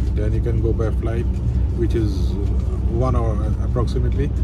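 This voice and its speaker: Loud background noise fills this recording. A man speaks over it at a moderate pace. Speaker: travel vlogger. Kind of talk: casual vlog chat. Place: bus. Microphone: phone near.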